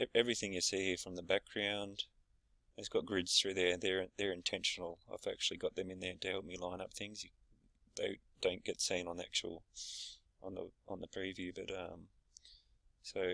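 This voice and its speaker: A very deep, low-pitched man's voice with a bright, sharp tone, monotone and flat intonation, moderate pace and long, frequent pauses. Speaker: small business owner showing a website builder. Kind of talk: screen-share tutorial. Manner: hesitant, many fillers.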